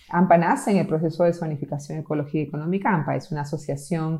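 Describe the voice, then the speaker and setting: This woman's voice sits very deep and low. It has a dark, mellow tone. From Peru, Amazon region, then city. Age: 50s. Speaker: conservation project leader. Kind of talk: interview.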